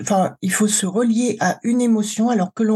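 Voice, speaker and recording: Her voice is somewhat breathy, with a dark, mellow tone and medium pitch, as the woman speaks at a fairly slow pace with ordinary pitch variation. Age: 60s. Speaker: cancer survivor and emotional wellbeing coach. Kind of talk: testimony.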